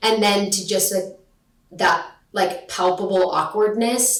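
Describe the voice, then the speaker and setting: A woman's voice at medium pitch has an animated tone. Room echo can be heard around it. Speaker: actress and graduate acting student. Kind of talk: interview. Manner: loud.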